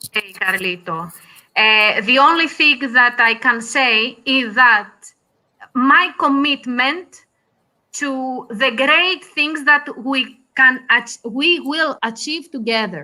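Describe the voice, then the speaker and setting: The voice is raised and projected, bright and sharp in tone, with a Greek accent. It moves at a very slow pace with lively intonation. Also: woman, high pitch for a woman. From Greece. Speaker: cigar industry guest. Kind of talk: interview. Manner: halting, many hesitations.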